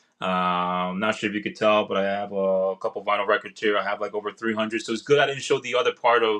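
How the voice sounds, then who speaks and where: In an American accent, a man talks at a fairly quick pace with a fairly low pitch and a bright, sharp tone, over a quiet background. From New York City, Queens. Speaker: political candidate. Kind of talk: interview. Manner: energetic; halting.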